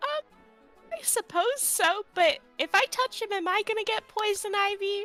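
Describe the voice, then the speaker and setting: A woman puts on a squeaky character voice at an extremely high pitch. She talks at a fairly slow pace with hardly any pauses while faint music plays in the background. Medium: actual play. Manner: hesitant, polite.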